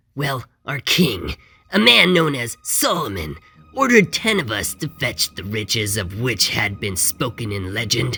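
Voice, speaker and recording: Over faint music in the background, a man does a put-on character voice at medium pitch with very wide pitch swings. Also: moderate pace. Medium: read story. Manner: grave, reflective.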